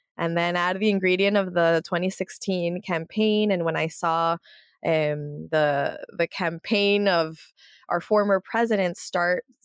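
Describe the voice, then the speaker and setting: A woman with an American accent speaks at a fairly slow pace in a fairly low pitch, with fairly even intonation and a plain, everyday voice, the sound dry and close with no echo. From US, San Jose and South Florida. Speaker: media founder and political analyst. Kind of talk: interview.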